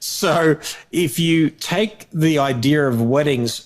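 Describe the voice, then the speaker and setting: A man speaks with an Australian accent. His pitch is fairly high, with ordinary variation. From Australia, Melbourne. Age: 40s. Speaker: wedding photographer. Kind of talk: interview. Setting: podcast recording. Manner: halting, with repeated words.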